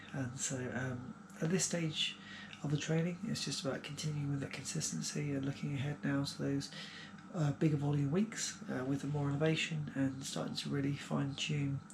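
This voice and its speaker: With a southern English accent, a man speaks in a fairly high voice. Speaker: running vlogger. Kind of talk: vlog monologue. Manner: fast; halting.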